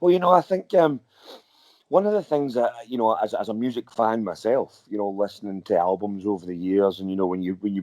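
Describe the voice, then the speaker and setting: In a Scottish accent, a man speaks fairly quickly with lively intonation and a fairly low pitch. His tone is dark and mellow, and the sound is dry and close with no echo. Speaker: rock singer and guitarist. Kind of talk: interview. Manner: halting, many repeated words.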